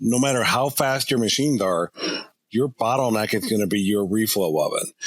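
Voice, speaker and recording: Using an unremarkable speaking voice, a man talks at a fairly quick pace with a medium pitch and ordinary pitch variation. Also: very even loudness. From Kansas City area. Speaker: electronics manufacturing engineer. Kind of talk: casual chat.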